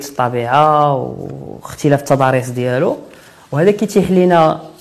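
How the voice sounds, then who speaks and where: In a normal speaking voice, a man talks at a fairly slow pace with ordinary pitch variation. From Morocco, Kenitra. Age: 30s. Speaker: adventurer, former physiotherapist. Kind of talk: interview.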